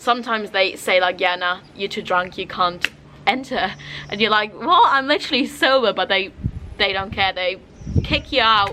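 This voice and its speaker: Over noticeable background noise, a woman speaks at medium pitch and a moderate pace with ordinary pitch variation. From Germany. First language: German. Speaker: travel vlogger. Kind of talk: casual vlog talk. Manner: casual, lots of fillers.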